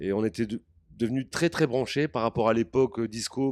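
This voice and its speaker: A dark, mellow voice moves at a fairly quick pace, dry and close with no echo, on a very clean recording with a silent background. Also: man. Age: 60s. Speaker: music producer. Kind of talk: interview. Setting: backstage at an event. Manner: halting.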